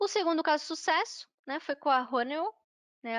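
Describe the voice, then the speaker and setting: Against a quiet background, a woman talks with ordinary pitch variation in a dry, close sound with no echo. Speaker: software trainer. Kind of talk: online workshop lecture.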